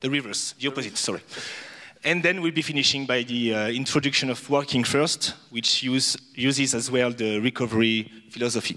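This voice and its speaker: A man talks at a fairly quick pace with fairly even intonation. Noticeable background noise runs behind him. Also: medium pitch for a man. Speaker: social worker. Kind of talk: conference presentation. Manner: halting.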